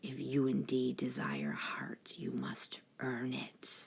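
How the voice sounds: Done as a put-on character voice, this gruff, raspy speech sits at a low-to-middle pitch and moves at a fairly slow pace.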